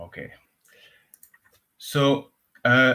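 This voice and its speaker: This man has a French accent. His voice sits at a medium pitch. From France. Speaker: cloud engineer and conference speaker. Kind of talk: conference talk. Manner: frequent filler uh.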